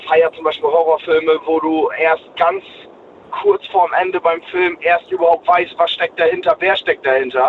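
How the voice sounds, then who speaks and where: Moderate pace, with noticeable background noise. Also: man. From East Frisia, northern Germany. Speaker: caller. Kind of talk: casual chat. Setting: phone call. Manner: halting.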